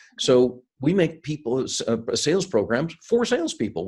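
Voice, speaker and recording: A somewhat breathy man with an American accent and very wide pitch swings, on a very clean recording with a silent background. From US, Seattle (moved from India at about eight). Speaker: sales and leadership consultant, keynote speaker. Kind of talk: interview. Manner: some hesitations and repeated words.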